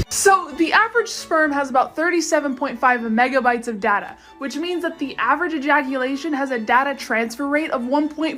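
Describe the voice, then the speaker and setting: A woman's high-pitched voice with lively intonation at a fairly quick pace, music in the background. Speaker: TikTok creator. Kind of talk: short video monologue. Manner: loud.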